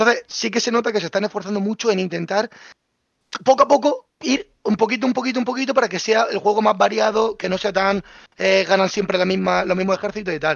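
This man talks very fast at a high pitch. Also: ordinary pitch variation. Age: young. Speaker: content creator. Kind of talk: casual chat.

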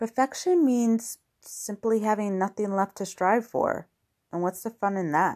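A woman with a slight New York accent speaks at a medium pitch and a fairly slow pace, her tone dark and mellow. The recording is very clean with a silent background, and the sound is dry and close with no echo. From New York, US. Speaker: podcast host and blogger. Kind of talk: solo podcast monologue. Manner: friendly, conversational, some filler words.

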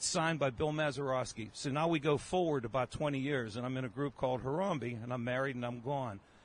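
A man with an American accent and an unremarkable speaking voice talks at a fairly quick pace, his fairly high pitch showing ordinary variation. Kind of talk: casual chat.

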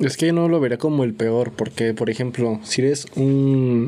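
At a moderate pace, a man talks with a Mexican accent at a medium pitch. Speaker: podcast host. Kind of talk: casual chat.

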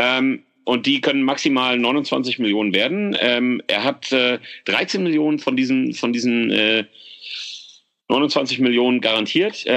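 Bright and sharp in tone, a man of medium pitch talks at a fairly slow pace with very even loudness and ordinary pitch variation. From Germany, Frankfurt (Oder). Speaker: fan podcast host. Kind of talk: casual chat.

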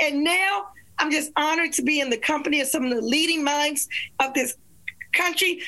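A woman with a high-pitched voice speaks at a fairly quick pace, raising and projecting her voice. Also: ordinary pitch variation, very even loudness. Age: 60s. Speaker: attorney and author. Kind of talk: panel discussion. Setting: video call.

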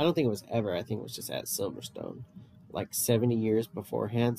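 A man at a medium pitch. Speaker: podcast co-host. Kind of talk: casual chat.

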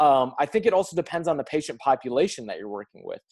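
A man with an American accent speaks with a fairly high pitch and lively intonation. It is an unremarkable speaking voice over a quiet background. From United States. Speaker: physical therapist, author, weightlifting coach. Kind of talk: interview.

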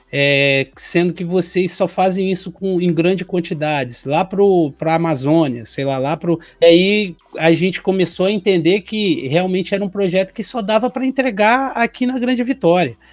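Hardly pausing, a man with a high pitch speaks at a moderate pace. His intonation is lively. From Brazil. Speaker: e-commerce consultant, co-host. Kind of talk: casual chat.

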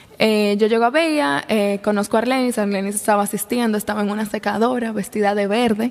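Her pace is very fast, with ordinary pitch variation. The woman's pitch is fairly high. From Dominican Republic, La Vega. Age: 20s. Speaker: young entrepreneur. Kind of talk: interview conversation.

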